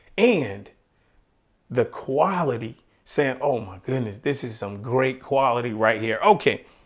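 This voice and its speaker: A man with a medium-pitched voice speaks at a fairly slow pace in an animated tone with lively intonation. His loudness swings a lot. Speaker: podcaster and YouTube tech reviewer. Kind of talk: product demo and review.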